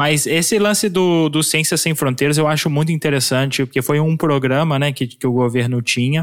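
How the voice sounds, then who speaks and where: This man has an ordinary speaking voice, pitched fairly high. He talks at a moderate pace with ordinary pitch variation. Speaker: podcast co-host. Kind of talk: interview.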